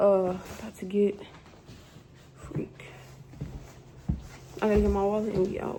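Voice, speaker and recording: Over noticeable background noise, a woman speaks at a medium pitch and moderate pace. Her intonation is monotone and flat, with long, frequent pauses. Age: 20s. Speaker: vlogger. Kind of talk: casual vlog. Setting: outdoors walking; library. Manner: whispering.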